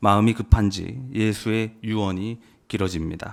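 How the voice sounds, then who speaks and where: The speaker is a man with a medium-pitched voice. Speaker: preacher. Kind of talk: sermon.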